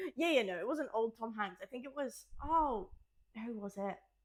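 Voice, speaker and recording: The delivery is animated, with lively intonation and big swings in loudness. The pace is moderate. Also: woman. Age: 20s. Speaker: podcast co-host. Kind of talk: casual chat.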